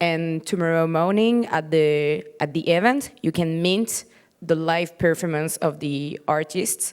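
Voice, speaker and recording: With a non-native accent, the speaker talks at a fairly slow pace with ordinary pitch variation on a very clean recording against a silent background. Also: woman, fairly low pitch for a woman. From Morocco. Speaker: panelist. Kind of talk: panel discussion. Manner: halting.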